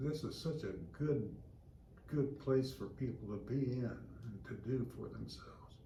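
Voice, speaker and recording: Vocal fry runs through fairly slow speech with fairly even intonation and audible room echo. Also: man. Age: 80s+. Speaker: recreation center member. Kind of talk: interview. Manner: halting, many fillers and repeats.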